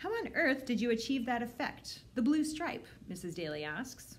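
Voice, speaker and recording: Over light background noise, a woman speaks in a somewhat breathy voice. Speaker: librarian. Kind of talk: children's book read-aloud. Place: home room. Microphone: phone near.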